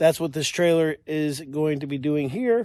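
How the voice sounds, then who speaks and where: A man speaks at a moderate pace in a dark, mellow tone, on a very clean recording with a silent background. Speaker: off-grid homesteader vlogger. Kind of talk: casual vlog narration. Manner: uneven pitch, voice all over the place.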